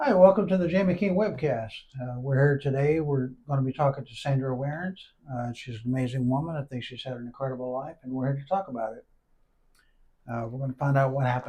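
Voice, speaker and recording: Man's dark, mellow voice, somewhat breathy, medium pitch with ordinary pitch variation, very fast pace, big swings in loudness. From Arkansas. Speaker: podcast host. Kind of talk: interview.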